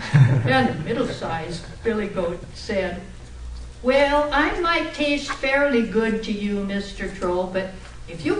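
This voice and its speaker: Amid noticeable background noise, a woman of medium pitch speaks at a very slow pace with very wide pitch swings. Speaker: storyteller; former teacher. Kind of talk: live storytelling speech. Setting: club meeting room. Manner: animated, playful.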